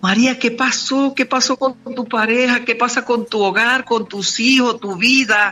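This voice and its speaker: With noticeable background noise behind her, a woman speaks at a fairly slow pace in a high voice with fairly even intonation. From Venezuela. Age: 70s. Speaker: motivational speaker and author. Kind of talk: radio interview. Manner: hesitant with fillers.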